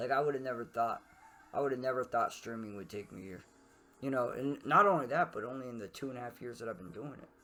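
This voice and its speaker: A man talks at a very fast pace and a medium pitch. Music plays in the background. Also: ordinary pitch variation, big swings in loudness. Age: 30s. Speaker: streamer and podcast host. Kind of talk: casual chat. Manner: halting.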